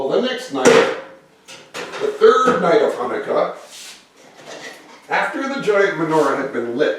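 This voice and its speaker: Noticeable background noise sits behind a man's voice. He speaks at a fairly slow pace with long, frequent pauses. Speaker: children's book author and illustrator. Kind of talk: storytelling narration.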